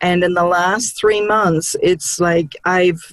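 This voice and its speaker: At a very slow pace, a woman with a New Zealand accent speaks at medium pitch with fairly even intonation. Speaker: licensed counselor. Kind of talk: interview.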